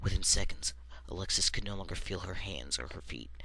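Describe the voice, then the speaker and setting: A man talks at a very fast pace. His voice is very deep and low. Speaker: amateur storyteller. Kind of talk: horror story reading.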